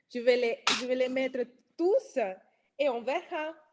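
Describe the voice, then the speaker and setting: Against a quiet background, a woman with a non-native accent speaks at a high pitch and a fairly slow pace, with ordinary pitch variation. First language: not French (speaking French). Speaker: nail technician and trainer. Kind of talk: testimony. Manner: halting, many hesitations.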